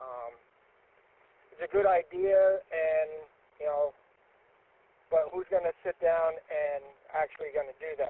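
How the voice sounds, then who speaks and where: A man speaks in a high voice. His pitch varies in an ordinary way. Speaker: radio net participant. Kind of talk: radio net check-in chat. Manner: halting.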